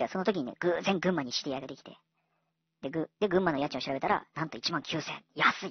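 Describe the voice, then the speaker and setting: The man's voice is fairly high, with ordinary pitch variation. He talks at a very fast pace, with big swings in loudness. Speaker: online tutor and education channel host. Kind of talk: casual solo radio-style talk.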